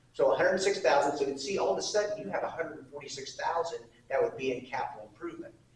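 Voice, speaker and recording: Audible room echo hangs around the voice. A man races through his words very fast. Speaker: city administrator presenting budget. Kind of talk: public meeting presentation. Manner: loud.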